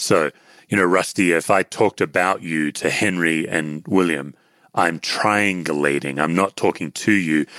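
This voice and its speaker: With an Australian accent, a man speaks in a very deep, low voice with a bright, sharp tone, fairly even intonation and very even loudness, the sound dry and close with no echo on a very clean recording with a silent background. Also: moderate pace. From Western Australia (Perth). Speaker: author and former pastor, anxiety teacher. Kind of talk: interview conversation.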